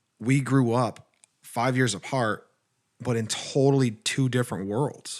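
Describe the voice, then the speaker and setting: On a very clean recording with a silent background, a man with an American accent speaks in an animated tone at a fairly slow pace and a medium pitch. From Texas. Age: 20s. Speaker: podcast co-host. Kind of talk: casual chat.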